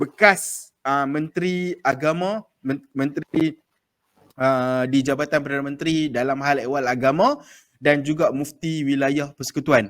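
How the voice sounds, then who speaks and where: A man with a northern Malaysian accent, fairly high in pitch. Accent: northern Malay dialect. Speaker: podcast host. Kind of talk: casual chat. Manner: hesitant, many fillers.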